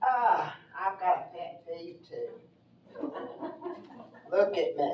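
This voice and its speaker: A woman in an East Tennessee accent, very slow with long, frequent pauses and big swings in loudness, over audible room echo. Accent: East Tennessee Southern. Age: 80s+. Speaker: resident speaking at public meeting. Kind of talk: public comment at town meeting.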